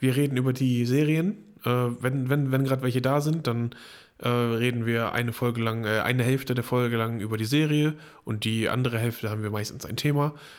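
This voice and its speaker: This is an unremarkable speaking voice. It moves at a fairly quick pace with fairly even intonation. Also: man, medium pitch for a man. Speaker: podcast co-host. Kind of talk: casual chat. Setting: same room.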